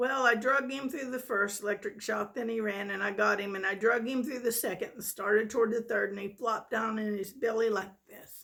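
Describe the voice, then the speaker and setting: Using a gruff, put-on character voice, a woman speaks fairly high in pitch at a fairly quick pace with hardly any pauses. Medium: read story. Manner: gruff, plainspoken, folksy grammar.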